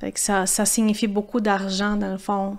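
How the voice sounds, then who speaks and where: Speaking in a Portuguese accent, a woman holds a medium pitch with monotone, flat intonation. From Brazil, São Paulo. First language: Portuguese (speaking French). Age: 30s. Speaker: former pro mountain biker. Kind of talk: podcast interview. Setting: café. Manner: halting, many repetitions.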